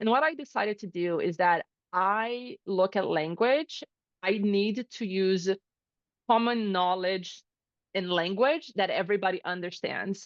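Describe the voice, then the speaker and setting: A woman with a Portuguese accent speaks at a fairly slow pace. Her medium pitch carries lively intonation. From Brazil. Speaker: chief of staff. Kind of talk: interview. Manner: casual.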